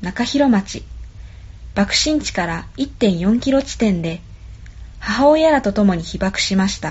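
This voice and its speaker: A woman talks very slowly, her intonation lively throughout. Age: old. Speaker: program navigator. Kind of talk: scripted narration. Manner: formal.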